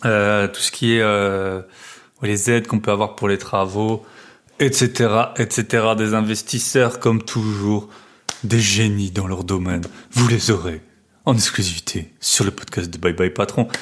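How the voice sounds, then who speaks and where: A man's fairly low voice in a regional French accent, fairly slow, with fairly even intonation. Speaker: real estate investment podcaster. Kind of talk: casual podcast monologue.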